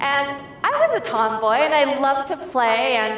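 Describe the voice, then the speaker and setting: A woman speaks with ordinary pitch variation amid noticeable background noise and audible room echo. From US Midwest, suburb of Detroit, Michigan. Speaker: tech education director. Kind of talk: keynote speech. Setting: stage with audience.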